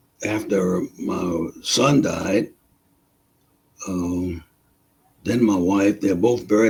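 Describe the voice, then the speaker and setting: With an American accent, a man speaks at a fairly low pitch in a somewhat breathy voice, with ordinary pitch variation and long, frequent pauses. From US South. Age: 80s+. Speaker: war veteran. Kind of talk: interview. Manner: halting.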